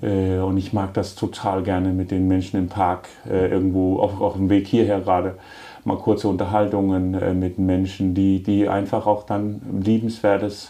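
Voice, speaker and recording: In a Danish accent, a man talks at a moderate pace with a very deep, low pitch and monotone, flat intonation. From Denmark. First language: Danish (speaking German). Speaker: city mayor and furniture entrepreneur. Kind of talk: podcast interview.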